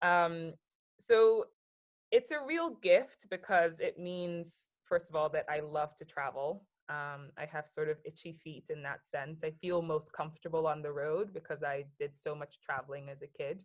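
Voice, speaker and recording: With an American accent and a normal speaking voice, a woman speaks at a fairly slow pace and fairly low pitch, her loudness swinging widely and her pitch varying in an ordinary way. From US. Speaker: business consultant. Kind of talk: casual chat.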